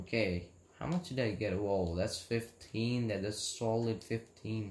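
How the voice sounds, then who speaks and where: At a fairly slow pace, a man talks in a fairly low, somewhat breathy voice with ordinary pitch variation. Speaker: gamer. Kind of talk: casual gameplay commentary. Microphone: phone near.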